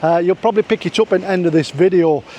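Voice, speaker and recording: Talking at a very fast pace, a man with a Yorkshire accent uses a high pitch. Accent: broad Yorkshire. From Yorkshire, northern England. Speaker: vlogger. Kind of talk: casual vlog chat, reading viewer comments. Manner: halting, with fillers and restarts.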